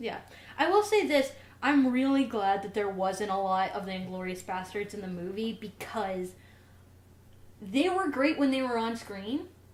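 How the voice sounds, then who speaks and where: A woman with a Southern US accent, fairly high in pitch, animated and lively in intonation, at a moderate pace, with audible room echo. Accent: Southern twang. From US South. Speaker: podcast co-host. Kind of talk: casual chat.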